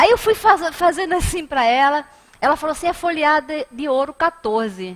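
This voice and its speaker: Speaking in a northeastern Brazilian accent, a woman uses an animated tone and a high pitch with very wide pitch swings at a moderate pace. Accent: northeastern Brazilian, noticeable. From Brazilian Northeast. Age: 50s. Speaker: spiritist lecturer. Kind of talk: lecture. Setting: spiritist center hall. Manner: animated storytelling.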